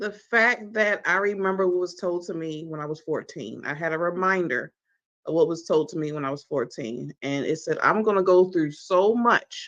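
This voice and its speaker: A woman with an American accent has a normal speaking voice, fairly low in pitch with ordinary pitch variation. She keeps a moderate pace over a quiet background. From US, Baltimore. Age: 40s. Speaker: talk show host and magazine publisher. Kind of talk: personal testimony in interview. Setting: live online stream.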